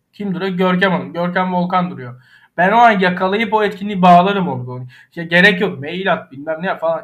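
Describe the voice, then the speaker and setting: A man with a high pitch, ordinary pitch variation, and a fairly quick pace. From Aegean Turkey (Ayvalık). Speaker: architect. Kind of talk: interview.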